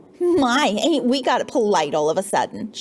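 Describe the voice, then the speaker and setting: Putting on a shaky character voice, a woman speaks at a moderate pace in a high pitch with very wide pitch swings. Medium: read story. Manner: nervous.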